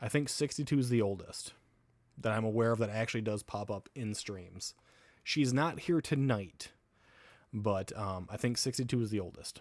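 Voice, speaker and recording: In a normal speaking voice, a man with an American accent talks at a moderate pace with a medium pitch and ordinary pitch variation, recorded very cleanly against a silent background. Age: 30s. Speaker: livestreamer. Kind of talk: casual livestream chat. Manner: casual, rambling with fillers.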